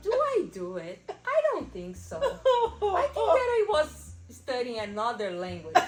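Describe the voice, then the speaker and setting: A woman with a non-native accent speaks at a fairly slow pace with hardly any pauses and big swings in loudness. Noticeable background noise runs underneath. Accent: non-native English speaker. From Brazil. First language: Portuguese. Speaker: immigrant interviewee. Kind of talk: interview. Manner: halting.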